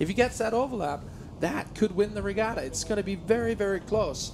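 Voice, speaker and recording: The talking comes at a very fast pace, with noticeable background noise behind it. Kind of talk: sports commentary.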